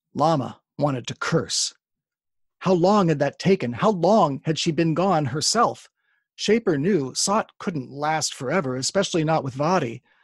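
In a dry, close sound with no echo and a quiet background, a man with a normal speaking voice talks at a fairly slow pace, with fairly high pitch and lively intonation. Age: 50s. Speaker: fantasy author. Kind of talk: casual interview; reading aloud.

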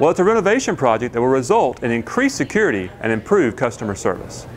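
Music plays in the background while the voice races along at a very fast pace with very wide pitch swings. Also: man. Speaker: company spokesperson. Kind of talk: informational presentation. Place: hall. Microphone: lapel.

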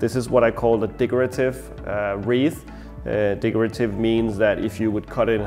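Over faint music in the background, a man talks at a moderate pace with fairly even intonation. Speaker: florist instructor. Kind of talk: tutorial. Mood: warm, nostalgic. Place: studio. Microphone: lapel.

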